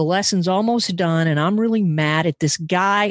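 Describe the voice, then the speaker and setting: A woman's fairly low voice with lively intonation at a fairly slow pace, dry and close with no echo, against a quiet background. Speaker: podcast host in recovery. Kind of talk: casual interview.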